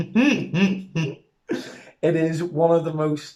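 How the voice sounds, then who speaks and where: A dark, mellow tone colors this man's voice. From Northern Ireland. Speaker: podcast host. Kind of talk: casual chat.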